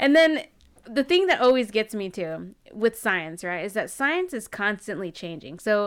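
At a moderate pace, a woman speaks in a normal speaking voice on a very clean recording with a silent background. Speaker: podcast co-host. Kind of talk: casual chat.

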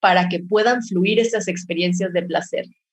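A somewhat breathy quality marks this woman's speech. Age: 30s. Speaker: pleasure educator. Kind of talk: casual chat.

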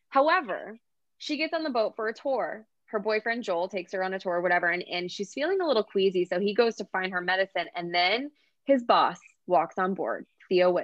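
In an American accent, a woman with an ordinary speaking voice talks at a fairly quick pace, her medium pitch carried by lively intonation. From US Oklahoma. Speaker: romance author. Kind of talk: casual interview chat.

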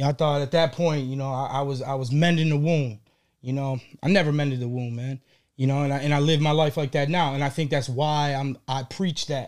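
A man talks at a fairly quick pace in a normal speaking voice, fairly high in pitch with fairly even intonation. The recording is very clean with a silent background. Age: 30s. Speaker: gourmet popcorn business owner. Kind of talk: casual interview chat.

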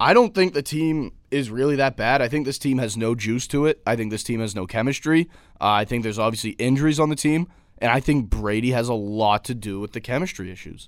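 On a very clean recording with a silent background, a man with a normal speaking voice talks at a medium pitch and fairly quick pace with ordinary pitch variation. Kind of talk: heated debate. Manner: loud, rapid-fire, talking over the other speaker.

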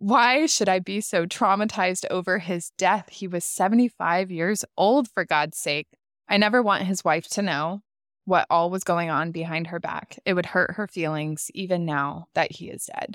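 A woman speaks in a plain, everyday voice at a medium pitch and a moderate pace. Her pitch varies in an ordinary way, and the recording is very clean with a silent background. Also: dry, close sound with no echo. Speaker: podcast host. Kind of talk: storytelling and commentary.

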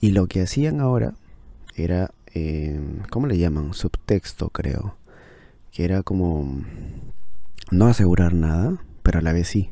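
A man's very deep, low, dark and mellow voice at a fairly slow pace, with lively intonation. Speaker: podcaster reviewing books. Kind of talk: casual book review monologue. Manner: halting, with many fillers and repetitions.

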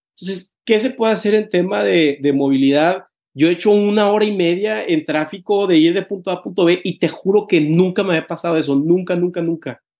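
A man speaks at a high pitch with ordinary pitch variation and hardly any pauses. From Mexico, Tampico. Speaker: podcast host. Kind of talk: casual interview chat. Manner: halting, many repetitions.

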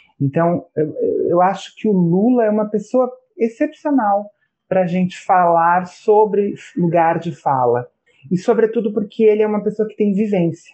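Moderately paced speech from a man with a high voice and ordinary pitch variation. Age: 40s. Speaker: professor. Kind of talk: casual chat.

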